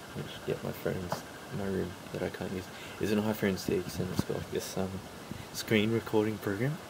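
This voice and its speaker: With noticeable noise behind him, a man talks at a moderate pace with fairly even intonation. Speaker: mobile gaming YouTuber. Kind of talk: casual vlog talk to camera. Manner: quiet, hushed.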